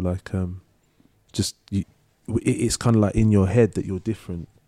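The voice has a dark, mellow tone and fairly even intonation, moving at a fairly quick pace in a very clean recording with a silent background. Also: man. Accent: London. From London, Leytonstone. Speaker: singer-songwriter. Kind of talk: casual chat. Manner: halting.

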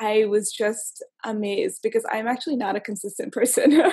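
With an American accent, a woman speaks at a moderate pace in a fairly high, somewhat breathy voice with ordinary pitch variation. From US South, Florida small town. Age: 20s. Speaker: illustrator and graphic designer. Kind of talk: casual interview chat.

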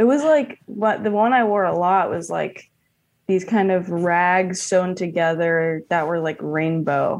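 With an unremarkable speaking voice and an American accent, a woman talks at a fairly slow pace and a medium pitch with lively intonation. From New York City (Hell's Kitchen, Queens). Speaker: comedian. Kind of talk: casual chat.

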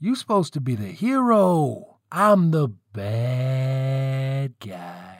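Putting on a character voice, a man speaks at a medium pitch with big pitch swings and a very slow pace. The recording is very clean with a silent background.

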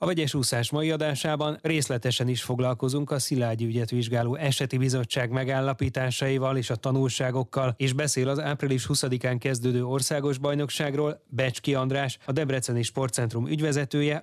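With a plain, everyday voice, a man of medium pitch speaks at a moderate pace with hardly any pauses, fairly even intonation and very even loudness. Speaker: radio host. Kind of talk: news reading. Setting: studio.

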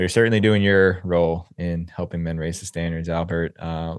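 A man talks at a moderate pace in a monotone, flat intonation, the sound dry and close with no echo over a quiet background. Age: 30s. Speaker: podcast host. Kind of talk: interview conversation. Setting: video call.

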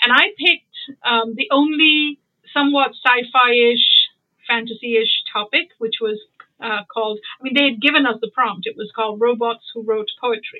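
A woman speaks at a moderate pace in a high pitch with ordinary pitch variation. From India, Bombay. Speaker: writer and literary translator. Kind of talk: interview.

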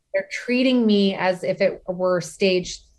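Set against a silent background in a very clean recording, a plain, everyday voice shows ordinary pitch variation. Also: woman. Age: 40s. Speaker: bereaved mother and author, former attorney. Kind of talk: casual interview.

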